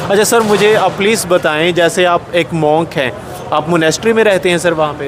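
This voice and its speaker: With noticeable background noise behind him, a man speaks at a moderate pace in a high pitch with ordinary pitch variation. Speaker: interviewer. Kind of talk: interview. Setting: gurdwara basement.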